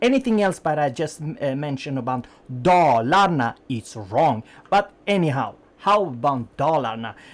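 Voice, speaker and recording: In a non-native accent, the speaker goes at a fairly unhurried pace. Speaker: gaming YouTuber. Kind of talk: game review commentary. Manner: hesitant, many fillers.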